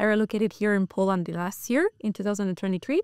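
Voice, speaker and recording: A woman speaks with an Italian accent and ordinary pitch variation. The recording is very clean, with a silent background. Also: dry, close sound with no echo. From Italy. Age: 20s. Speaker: financial crime analyst. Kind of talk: interview. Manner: hesitant, lots of fillers.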